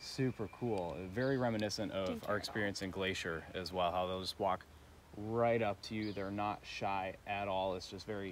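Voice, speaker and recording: A man's fairly low voice, an unremarkable speaking voice, at a moderate pace with fairly even intonation, dry with no echo, over light background noise. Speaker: travel vlogger. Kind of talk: casual vlog chat. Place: forest. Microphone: phone near.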